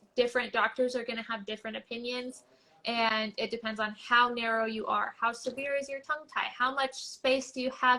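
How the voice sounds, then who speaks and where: Monotone, flat intonation from a woman with a high pitch. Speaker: tongue therapist. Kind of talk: interview. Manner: fast.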